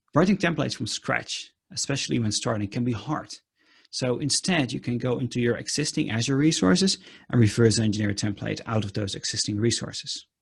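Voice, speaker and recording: The voice moves at a fairly quick pace with lively intonation and vocal fry. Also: man, medium pitch for a man. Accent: Dutch. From Netherlands. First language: Dutch. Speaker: conference speaker. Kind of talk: technical talk with live demo. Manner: many filler ums.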